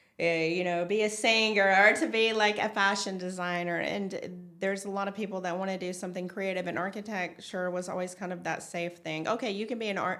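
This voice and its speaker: Speaking in a Tennessee accent, a woman moves at a fairly quick pace with hardly any pauses. Her medium-pitched voice has a bright, sharp tone and fairly even intonation. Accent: Tennessee (Southern US). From Tennessee, USA. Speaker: designer. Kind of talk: interview answer.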